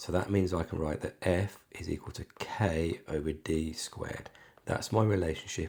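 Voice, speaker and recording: A man talks at a moderate pace with ordinary pitch variation. His tone is dark and mellow, and somewhat breathy. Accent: British. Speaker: maths tutor. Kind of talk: maths tutorial walkthrough. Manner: casual, conversational.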